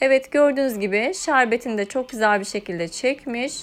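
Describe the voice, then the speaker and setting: A woman's fairly high voice, calm in tone, at a moderate pace with ordinary pitch variation. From Turkey, Eskişehir. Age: 30s. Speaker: cooking YouTuber. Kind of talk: cooking tutorial narration. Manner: calm, instructional with hesitations.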